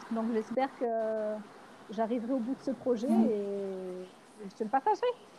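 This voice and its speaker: Lively intonation carries the fairly slow speech, with noticeable background noise behind it. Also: woman. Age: 40s. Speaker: mother living aboard a sailboat. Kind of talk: casual interview conversation. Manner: halting, many fillers and repetitions.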